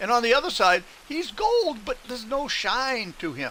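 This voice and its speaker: With noticeable background noise behind him, a man talks with very wide pitch swings. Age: 70s. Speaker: gaming live streamer. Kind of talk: casual chat. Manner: relaxed, rambling with fillers.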